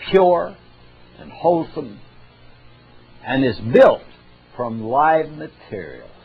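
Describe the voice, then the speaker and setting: Over music in the background, a man talks at a fairly high pitch. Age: 80s+. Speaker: natural health lecturer. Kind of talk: health lecture.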